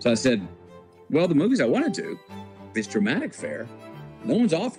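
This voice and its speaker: Music plays in the background. A man talks over it in a Texas accent. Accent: Texas drawl. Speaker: actor. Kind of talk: podcast interview answer. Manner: storytelling.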